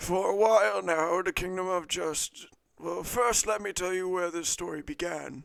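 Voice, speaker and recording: Using a put-on character voice, a man speaks at a high pitch and a moderate pace with ordinary pitch variation. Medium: actual play. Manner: slow, storytelling.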